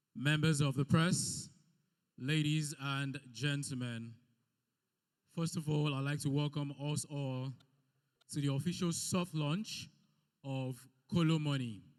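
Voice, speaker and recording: A man's fairly high-pitched voice at a fairly slow pace, with long, frequent pauses. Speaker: event MC. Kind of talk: event hosting. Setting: event hall with audience. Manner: loud; animated.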